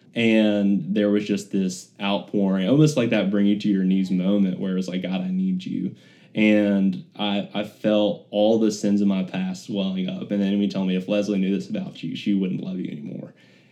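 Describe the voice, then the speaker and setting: A man's fairly low, dark and mellow voice with an Alabama accent, at a moderate pace with hardly any pauses, fairly even intonation and a quiet background. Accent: US South (Alabama). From Birmingham, Alabama. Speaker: former professional baseball player. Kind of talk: personal testimony interview.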